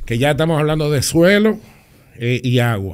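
Behind the voice there is only quiet. A man talks, his pitch varying in an ordinary way. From Dominican Republic. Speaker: public official; podcast guest. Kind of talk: interview. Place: studio. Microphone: studio mic.

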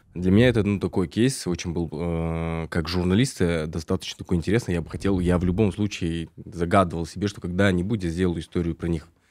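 This man speaks at a fairly quick pace with a very deep, low pitch, fairly even intonation and hardly any pauses. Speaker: podcast host and journalist. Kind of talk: casual interview chat.

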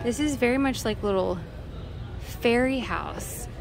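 There's noticeable noise behind the speaker. She is a woman. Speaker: vlogger. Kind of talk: casual vlog chat. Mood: cheerful, enthusiastic. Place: shop. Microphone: phone near.

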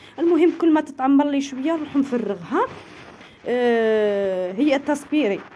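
The speaker talks at a fairly slow pace with lively intonation. Noticeable background noise runs under the voice. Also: woman, high pitch for a woman. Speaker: cooking and home YouTuber. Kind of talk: home vlog and cooking tutorial; product promotion. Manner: animated.

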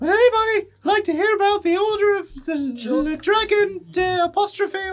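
A put-on character voice at an extremely high pitch moves at a moderate pace.

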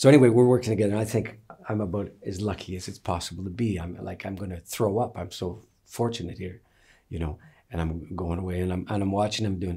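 Against a quiet background, a man speaks very fast with a fairly low pitch and ordinary pitch variation. His tone is dark and mellow, and somewhat breathy. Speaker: interviewee, teacher. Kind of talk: interview answer, storytelling. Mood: reflective, wry, amused. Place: home room.

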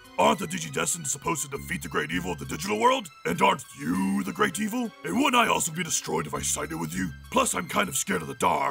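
A man talks at a very fast pace in a put-on character voice, with clear music playing in the background. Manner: blustering, dopey, boastful.

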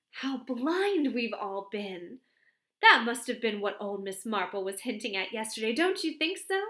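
The audio is plain reading aloud against a quiet background.

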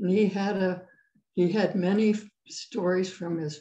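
Somewhat breathy and very slow, a woman talks in a dark, mellow tone of fairly low pitch with fairly even intonation, amid audible room echo. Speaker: guest. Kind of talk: interview answer. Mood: reflective, calm. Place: home room. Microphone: video call.

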